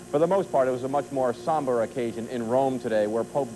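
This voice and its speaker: Over noticeable background noise, a man talks at medium pitch. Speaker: news anchor. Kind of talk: TV news anchor read.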